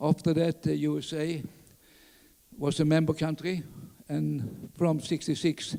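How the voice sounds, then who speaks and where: The speaker is a man. He talks with a Skåne accent. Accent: Swedish (Skåne). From southern Sweden, Skåne. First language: Swedish (Skåne dialect). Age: 80s+. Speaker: orienteering pioneer. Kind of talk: conference talk. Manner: halting, many fillers.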